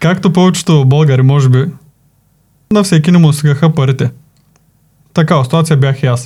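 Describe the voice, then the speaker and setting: The tone is dark and mellow, somewhat breathy, with ordinary pitch variation. Delivery comes at a moderate pace, broken by long, frequent pauses. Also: man, fairly high pitch for a man, very even loudness. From Bulgaria, Plovdiv region. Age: 20s. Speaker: video editing team manager. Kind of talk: casual interview.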